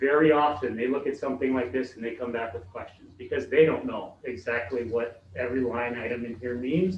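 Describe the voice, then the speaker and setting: This man talks at a fairly quick pace with fairly even intonation and a medium pitch. Noticeable background noise runs underneath. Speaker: school construction consultant presenting to a board. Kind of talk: presentation to a school board. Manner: fast; hesitant, many fillers.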